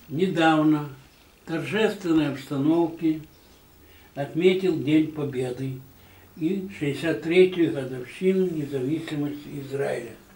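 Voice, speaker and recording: A man's fairly high voice at a very slow pace, with ordinary pitch variation, long and frequent pauses, and audible room echo. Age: 80s. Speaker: retired newspaper photographer. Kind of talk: recorded video greeting. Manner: formal. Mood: warm, calm, sentimental.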